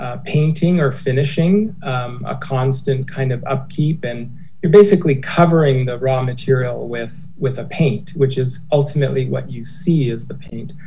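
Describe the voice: A man speaks at a moderate pace in a medium pitch. His pitch varies in an ordinary way.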